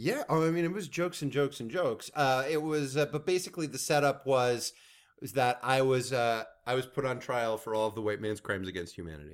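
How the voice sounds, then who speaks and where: A man's medium-pitched, ordinary speaking voice with lively intonation. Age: 40s. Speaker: comedy writer. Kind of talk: casual chat. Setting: in a home.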